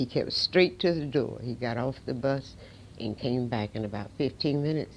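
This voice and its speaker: With an American accent, a woman talks at a moderate pace in a very deep, low pitch, her dark, mellow tone carrying lively intonation. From North Carolina. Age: 80s+. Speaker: civil rights figure. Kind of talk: interview testimony. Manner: halting.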